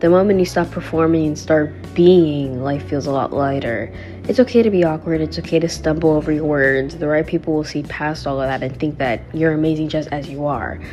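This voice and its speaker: A soft-spoken woman with a very deep, low pitch and lively intonation, talking at a fairly quick pace with hardly any pauses over background music. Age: 20s. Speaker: lifestyle vlogger. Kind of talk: casual talk to camera.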